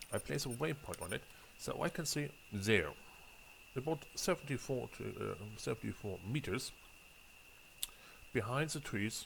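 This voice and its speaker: Speaking with a German accent, a man uses a medium pitch, vocal fry and lively intonation at a moderate pace, leaving long, frequent pauses. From Germany. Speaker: gaming video creator. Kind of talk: gameplay commentary. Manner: halting, frequent fillers and repeats.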